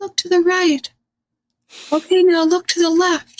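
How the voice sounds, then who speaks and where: An extremely high put-on character voice with monotone, flat intonation at a moderate pace. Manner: instructing.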